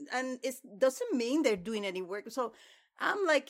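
A woman speaks high and lively, at a moderate pace. The recording is very clean, with a silent background. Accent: Spanish. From Dominican Republic. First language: Spanish. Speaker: PhD student in religion. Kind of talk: casual academic discussion.

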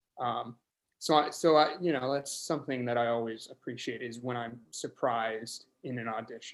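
At a moderate pace, a man with an American accent speaks at a medium pitch with fairly even intonation. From Nebraska, US Midwest. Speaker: screenwriter. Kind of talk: interview. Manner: hesitant, many fillers.

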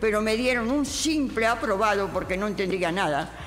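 A woman's fairly high-pitched voice at a moderate pace, with noticeable background noise and audible room echo. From Spain, Castile (Segovia, Madrid). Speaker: writer and historian. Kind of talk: autobiographical testimony.

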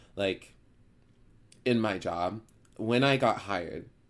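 On a very clean recording with a silent background, a man talks with fairly even intonation. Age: 20s. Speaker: podcast host, pharmacy student. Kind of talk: casual chat.

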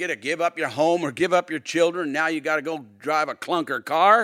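On a very clean recording with a silent background, a man with a high pitch speaks at a fairly quick pace. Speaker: pastor. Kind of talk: sermon. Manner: earnest, preacherly, conversational; animated, persuasive.

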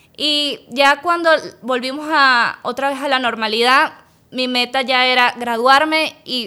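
On a very clean recording with a silent background, a woman uses a raised, projected voice with a bright, sharp tone, high pitch and ordinary pitch variation. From Venezuela, Caracas. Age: young. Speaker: dentist and business owner. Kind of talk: interview.

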